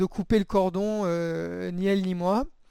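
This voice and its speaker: On a very clean recording with a silent background, a man talks at a high pitch. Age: 30s. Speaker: dating app user giving testimony. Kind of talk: testimony. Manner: halting, many hesitations.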